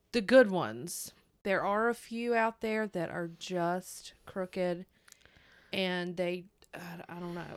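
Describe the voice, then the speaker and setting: A woman with a North Carolina accent talks at a very slow pace and a medium pitch with ordinary pitch variation, on a very clean recording with a silent background. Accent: Southern US (North Carolina). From US South, North Carolina. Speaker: true crime podcast co-host. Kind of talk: casual chat.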